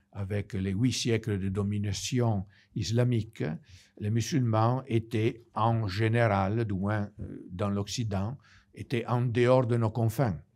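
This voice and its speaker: A man with an Italian accent at a very slow pace, in a very clean recording with a silent background. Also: medium pitch for a man, fairly even intonation. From Italy. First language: Italian (speaking French). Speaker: priest. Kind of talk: lecture. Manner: halting.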